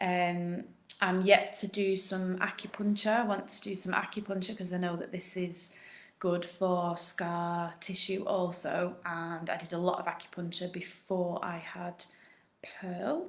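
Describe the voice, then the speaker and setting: A woman with a northern English accent talks fairly slowly at a medium pitch, monotone and flat, her loudness swinging widely, with audible room echo. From northern England. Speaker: postnatal fitness coach. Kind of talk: live Q&A. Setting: live stream.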